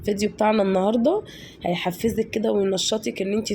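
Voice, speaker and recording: Speaking in an Egyptian accent, the voice moves at a fairly quick pace with fairly even intonation. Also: woman. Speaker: home vlogger. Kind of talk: casual vlog narration. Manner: warm, chatty with hesitations.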